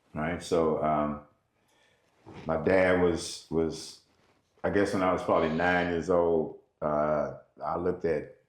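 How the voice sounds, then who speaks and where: Very slow and monotone, a man with a very deep, low pitch speaks with long, frequent pauses and audible room echo. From US South, Nashville, Tennessee. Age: 60s. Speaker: musician. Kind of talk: interview. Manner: halting, with many fillers.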